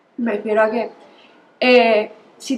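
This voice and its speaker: A woman at a fairly high pitch with fairly even intonation, over noticeable background noise. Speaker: student. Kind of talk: group discussion.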